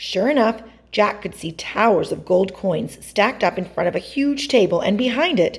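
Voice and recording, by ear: Reading aloud in a natural voice, start to finish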